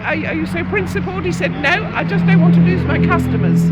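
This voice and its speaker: Over crowd noise in the background, someone speaks very fast in a London accent. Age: 60s. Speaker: protester. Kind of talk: street interview.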